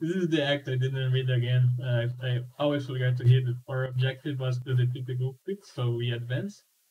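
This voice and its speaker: A man with a non-native accent talks at a fairly quick pace with hardly any pauses. His medium-pitched voice has a dark, mellow tone and is somewhat breathy. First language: not English. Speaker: game developer and student. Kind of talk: gameplay demonstration. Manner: animated; halting.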